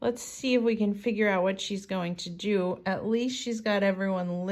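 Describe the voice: The text is read aloud. The reading is plain.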